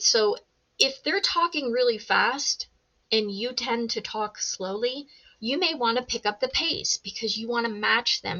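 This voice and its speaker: Loud and lively in intonation, a woman speaks in a high pitch at a fairly slow pace. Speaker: sales and communication coach. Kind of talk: online course lesson.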